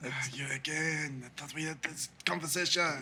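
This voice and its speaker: A man's put-on character voice, raspy and fairly high-pitched, at a moderate pace over clear background noise. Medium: actual play. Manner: halting, hesitant.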